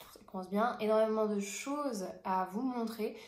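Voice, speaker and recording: A woman's medium-pitched voice with fairly even intonation, plus audible room echo. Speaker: sewing and knitting vlogger. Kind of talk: casual podcast monologue. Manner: hesitant, many fillers.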